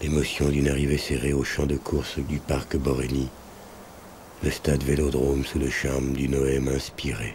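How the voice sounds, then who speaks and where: Over noticeable background noise, a man with a very deep, low pitch speaks fairly slowly in a flat monotone. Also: very even loudness. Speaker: actor. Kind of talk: documentary voice-over narration.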